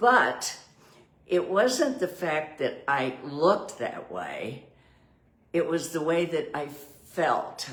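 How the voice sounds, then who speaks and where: A woman talks amid noticeable background noise, with audible echo in the room. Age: 80s+. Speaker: vlogger on aging. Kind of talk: casual video monologue. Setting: indoors by a window. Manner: animated.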